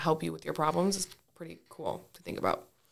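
Her voice sits fairly low for a woman. There is vocal fry in it. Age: 20s. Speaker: podcast guest, host's best friend. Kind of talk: casual chat. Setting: studio.

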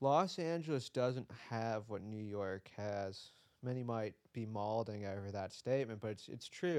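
With an American accent, a man talks at a moderate pace in a normal speaking voice. His pitch is fairly low, with ordinary pitch variation. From US Midwest (Detroit). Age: 20s. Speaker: visual artist. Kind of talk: casual interview chat.

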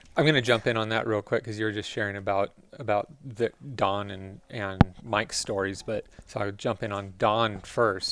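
Here is a man with an ordinary speaking voice and a fairly low pitch. He keeps a moderate pace and fairly even intonation. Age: 50s. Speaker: podcast co-host, race team manager. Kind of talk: casual chat. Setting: bike shop.

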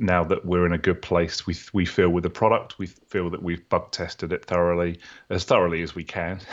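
A man with a very deep, low voice talks at a fairly quick pace in a monotone, flat delivery. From UK. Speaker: software founder and developer. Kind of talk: interview.

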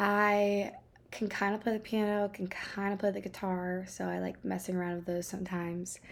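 On a very clean recording with a silent background, a woman speaks at a medium pitch and moderate pace in a monotone, flat intonation. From Maine. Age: 20s. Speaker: podcast host. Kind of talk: casual solo talk. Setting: home bedroom. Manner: hesitant, many fillers. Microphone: new equipment.

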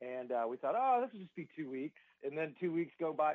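At a fairly quick pace, a man speaks with a Southern US accent and a fairly high pitch. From US South, Georgia. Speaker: musician and songwriter. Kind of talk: radio interview. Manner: casual, relaxed.

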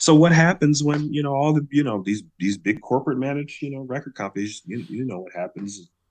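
In a quiet background, a man with an American accent speaks with very wide pitch swings. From Chicago. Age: 30s. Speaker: musician and actor. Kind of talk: casual interview chat. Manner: animated.

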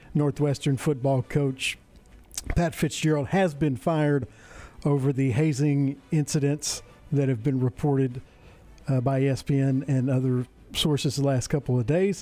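An unremarkable speaking voice belongs to a man pitched fairly high. He talks fairly slowly with fairly even intonation and very even loudness. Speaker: radio co-host. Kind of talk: news reading.

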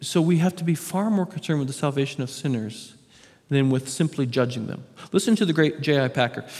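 A man speaks at fairly high pitch with ordinary pitch variation. He has a plain, everyday voice. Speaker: pastor. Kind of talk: sermon.

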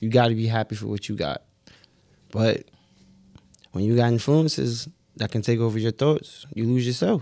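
Medium-pitched man with a dark, mellow tone, a moderate pace, ordinary pitch variation, and long, frequent pauses. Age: 30s. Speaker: podcast co-host. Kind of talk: casual chat.

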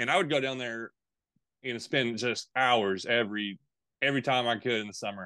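A man with a bright, sharp tone talks fairly quickly, the sound dry and close with no echo over a quiet background. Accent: Tennessee. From Middle and East Tennessee. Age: 30s. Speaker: fishing YouTuber. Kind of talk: casual interview.

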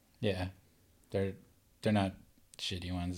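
This man's voice is very deep and low, captured on a very clean recording with a silent background. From Southern California, Laguna Beach. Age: 60s. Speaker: helmet painter, former pro surfer. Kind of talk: casual interview.

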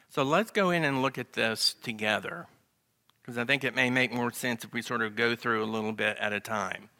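Speaking with a Southern US accent, a man uses a medium pitch with ordinary variation and a bright, sharp tone at a fairly quick pace, in a very clean recording with a silent background and a dry, close sound with no echo. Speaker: Bible class teacher. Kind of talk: Bible lesson. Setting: church class.

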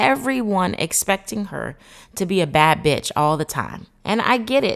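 A woman speaks at a fairly slow pace with vocal fry. Her pitch swings very widely. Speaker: therapeutic coach and podcast host. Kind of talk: motivational monologue. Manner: conscious of a polished broadcast voice.

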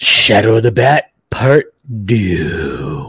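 Putting on a character voice, a man speaks in a raspy tone at a fairly low pitch. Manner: dramatic, intimidating.

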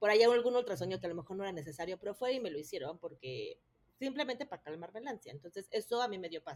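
The voice races along at a very fast pace, its loudness rising and falling sharply and its pitch leaping across a very wide range. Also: woman, medium pitch for a woman. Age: 30s. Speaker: mother of triplets. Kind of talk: personal story in interview.

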